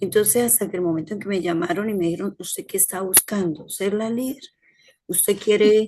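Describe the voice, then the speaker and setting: A soft-spoken woman's voice of medium pitch, dark and mellow in tone, with fairly even intonation. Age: 50s. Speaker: healthcare worker, course participant. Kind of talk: class discussion, personal account.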